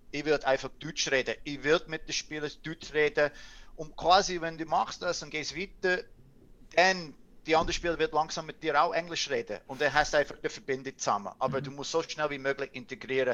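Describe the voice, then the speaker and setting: A man with a Canadian accent talks at a fairly quick pace, his fairly high voice carrying a bright, sharp tone. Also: ordinary pitch variation. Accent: Canadian accent in Swiss German. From Canada. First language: English (speaking German). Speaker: ice hockey coach and former player. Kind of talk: casual interview. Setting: video call.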